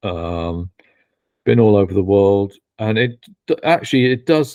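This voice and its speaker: Here a man with a British accent has a fairly low pitch and a dark, mellow tone. He speaks at a fairly slow pace with lively intonation. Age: 50s. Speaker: betting industry consultant and educator. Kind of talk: podcast interview. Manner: halting, many false starts.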